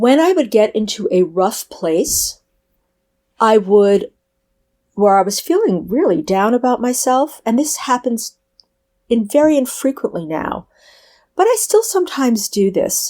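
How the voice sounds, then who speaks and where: A woman's dark, mellow, high-pitched voice, fairly slow, with very wide pitch swings and long, frequent pauses. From New York. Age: 60s. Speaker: author. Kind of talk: interview.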